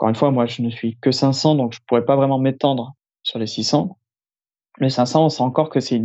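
A man speaks at a fairly quick pace in an ordinary speaking voice. His pitch sits at a medium level, and his intonation stays fairly even. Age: 20s. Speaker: airline pilot. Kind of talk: interview.

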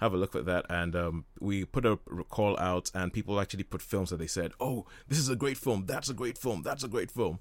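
A man with an unremarkable speaking voice talks at a fairly quick pace, his pitch fairly low with ordinary variation. The recording is very clean and the background silent. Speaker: radio host. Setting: hospital radio studio.

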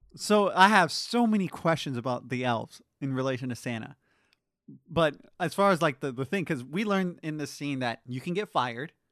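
Against a quiet background, a man with an unremarkable speaking voice talks at a fairly quick pace, fairly high in pitch and with lively intonation. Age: 20s. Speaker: podcast co-host. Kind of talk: casual chat.

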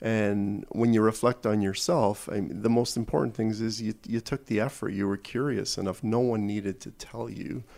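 A plain, everyday voice from a man with a Canadian accent, fairly low in pitch, with fairly even intonation at a moderate pace. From Toronto, Canada. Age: 50s. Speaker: corporate executive. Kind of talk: interview.

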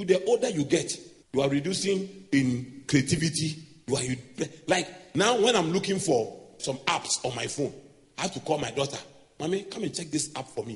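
Using an ordinary speaking voice, a man talks at a moderate pace with a fairly high pitch and lively intonation. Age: 40s. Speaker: pastor. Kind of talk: sermon.

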